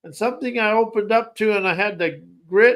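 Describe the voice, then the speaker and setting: The recording is very clean, with a silent background. A man speaks at a high pitch. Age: 60s. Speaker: podcast host, self-help coach. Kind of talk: motivational monologue. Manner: halting, self-correcting.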